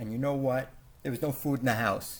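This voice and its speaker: A man mumbling. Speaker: video blogger documenting family elder abuse. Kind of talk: casual monologue narrating photos.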